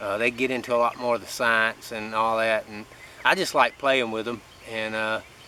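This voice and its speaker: A man speaks at a fairly quick pace and medium pitch in a normal speaking voice. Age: middle-aged. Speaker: beekeeper. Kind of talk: casual vlog tutorial.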